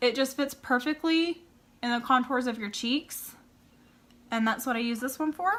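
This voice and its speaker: A woman projects a raised, high-pitched voice. Her tone is bright and sharp, with ordinary pitch variation. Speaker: beauty vlogger. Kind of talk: tutorial.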